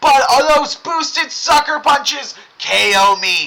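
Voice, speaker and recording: A man's raised, projected voice, very slow and lively in intonation, over noticeable background noise. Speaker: gaming streamer. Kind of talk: live gameplay commentary.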